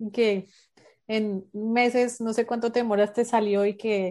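A woman speaks in a monotone with flat intonation. Her fairly high pitch carries a dark, mellow tone. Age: 30s. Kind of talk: interview. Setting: remote call.

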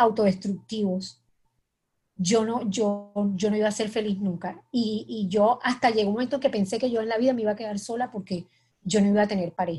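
This woman has a fairly high pitch, a somewhat breathy, dark, mellow tone, ordinary pitch variation and a moderate pace. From Colombia, Cartagena. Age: 50s. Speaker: writer. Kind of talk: interview. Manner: halting.

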